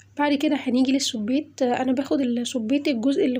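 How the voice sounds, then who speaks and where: This woman has a high-pitched voice. Her intonation stays fairly even. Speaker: cooking channel host. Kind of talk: cooking tutorial. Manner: halting, many fillers.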